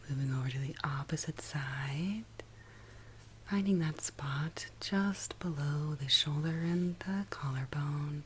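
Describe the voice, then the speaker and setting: Soft-spoken and somewhat breathy, a woman talks at a very slow pace in a very deep, low pitch with ordinary pitch variation. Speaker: somatic and ASMR guide. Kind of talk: guided somatic practice, soft spoken ASMR. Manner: soft-spoken, slow, calming.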